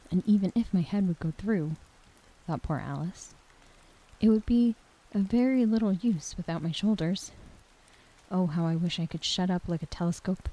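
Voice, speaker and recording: With long, frequent pauses, a woman speaks at medium pitch and ordinary pitch variation, her somewhat breathy, dark, mellow tone caught in a dry, close sound with no echo. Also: moderate pace. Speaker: ASMR storyteller. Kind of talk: audiobook reading. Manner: natural cadence, soft, relaxing.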